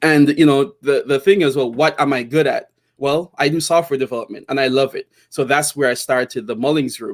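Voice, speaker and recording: In a Jamaican accent, a man with a fairly high pitch talks at a fairly quick pace, with hardly any pauses and fairly even intonation. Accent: Jamaican, kept. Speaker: tech entrepreneur. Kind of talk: interview. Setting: live video stream. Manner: casual, with many fillers.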